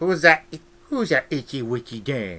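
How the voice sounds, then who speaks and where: A man's put-on character voice, fairly high in pitch, at a moderate pace. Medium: read story. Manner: tart, scornful.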